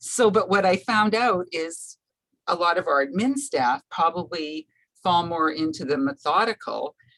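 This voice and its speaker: Lively intonation at a fairly slow pace, with a dry, close sound and no echo. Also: woman, fairly low pitch for a woman. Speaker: webinar attendee. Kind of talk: webinar Q&A. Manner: loud.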